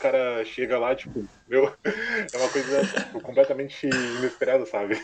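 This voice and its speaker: Amid noticeable background noise, a man talks at a fairly high pitch. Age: 20s. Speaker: university student. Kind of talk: casual chat.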